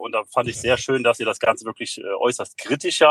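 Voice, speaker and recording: Heard in a dry, close sound with no echo, a man talks at a very fast pace. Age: 40s. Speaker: fitness studio and physiotherapy practice owner. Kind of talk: interview. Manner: hesitant with fillers.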